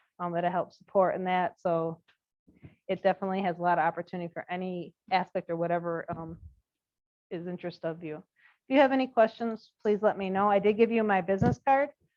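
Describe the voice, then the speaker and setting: Words pour out at a very fast pace, the pitch varying in an ordinary way. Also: woman, medium pitch for a woman. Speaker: corporate supply chain manager recruiting interns. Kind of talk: presentation to student group.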